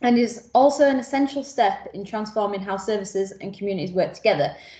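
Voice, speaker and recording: Very fast and somewhat breathy, a woman speaks at a fairly high pitch with ordinary pitch variation and big swings in loudness. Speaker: community partnership support officer. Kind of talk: workshop presentation.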